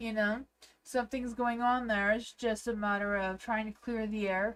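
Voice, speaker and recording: A woman with a Canadian accent, fairly high pitch, fairly even intonation and a moderate pace. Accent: Canadian, noticed by viewers. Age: 40s. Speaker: tarot reader. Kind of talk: livestream tarot reading. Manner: hesitant, many fillers; sounds younger than her age.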